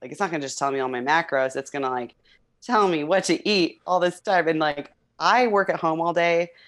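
Against a quiet background, a woman with a fairly low pitch talks at a moderate pace with ordinary pitch variation. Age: 30s. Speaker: fitness coach and strongman athlete. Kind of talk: casual interview. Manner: frequent fillers and hesitations.

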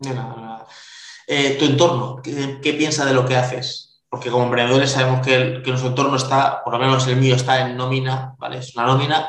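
A man's medium-pitched voice at a fairly quick pace, monotone and flat in intonation, with audible room echo. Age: 40s. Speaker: podcast host. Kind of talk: interview.

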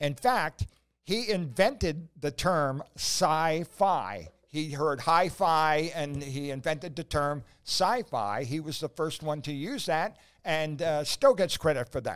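Lively in intonation but very slow in pace, a man speaks in a very clean recording with a silent background. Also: fairly high pitch for a man. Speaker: co-host. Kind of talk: casual chat. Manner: joking.

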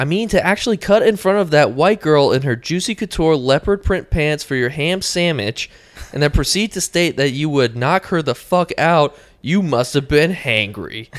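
Speaking at a moderate pace, a man has a normal speaking voice, a fairly high pitch and lively intonation. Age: 20s. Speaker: comedy podcast co-host. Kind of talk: casual chat.

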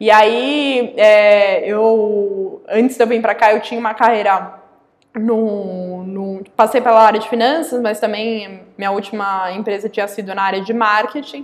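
Her intonation is fairly even, and her pitch is fairly high. This woman talks at a fairly slow pace. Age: 20s. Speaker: real estate company CEO. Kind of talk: interview. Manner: halting, many fillers.

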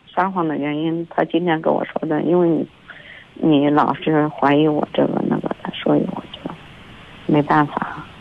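A woman's very deep, low voice, monotone and flat, at a moderate pace amid noticeable background noise. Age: 50s. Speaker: caller. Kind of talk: casual chat. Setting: phone call. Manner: halting.

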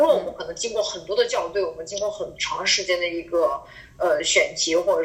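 Background noise is noticeable throughout. The talking goes at a very fast pace. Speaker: podcast co-host, student. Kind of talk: casual chat. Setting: dormitory stairwell, remote recording.

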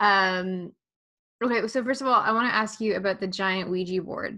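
A woman's medium-pitched voice, bright and sharp in tone, at a moderate pace with fairly even intonation over a quiet background. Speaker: podcast host. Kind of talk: casual chat.

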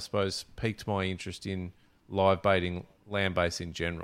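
Speaking with an Australian accent, a man uses a fairly low pitch. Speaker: fishing podcast host. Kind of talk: casual chat.

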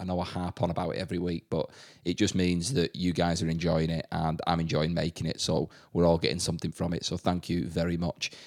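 With an English accent, a man talks very fast in a very deep, low voice with fairly even intonation, on a very clean recording with a silent background. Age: 20s. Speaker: podcast host and primary school teacher. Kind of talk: casual chat. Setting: at home in isolation.

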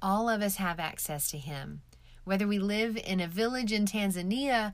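A woman speaks at a moderate pace with a medium pitch and ordinary pitch variation. It's a plain, everyday voice. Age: 40s. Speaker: author reading her own book. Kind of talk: reading aloud.

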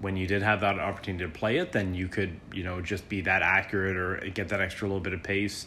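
A man's very deep, low voice, bright and sharp in tone, at a very fast pace with fairly even intonation and audible room echo. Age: 30s. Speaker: squash coach and podcast host. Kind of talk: solo podcast monologue. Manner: halting, many fillers.

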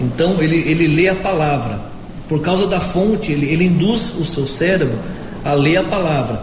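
Amid noticeable background noise and audible room echo, a high-pitched man talks at a moderate pace with ordinary pitch variation and very even loudness. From interior of São Paulo state, Piracicaba. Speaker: book publisher. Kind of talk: radio interview.

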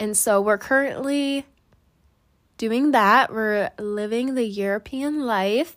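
At a very slow pace, a woman talks with a fairly high pitch and ordinary pitch variation. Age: 20s. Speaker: podcast host. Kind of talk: solo podcast monologue.

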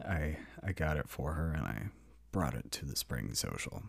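This man's voice is very deep and low, with vocal fry. He speaks at a fairly slow pace. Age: 20s. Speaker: solo podcaster. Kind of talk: personal monologue. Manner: casual, with laughs and sighs.

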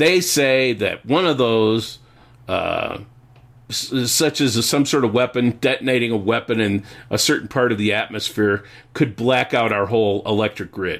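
A man talks in a plain, everyday voice. His pace is moderate, with ordinary pitch variation. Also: medium pitch for a man, very clean recording, silent background. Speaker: podcast co-host. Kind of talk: casual chat.

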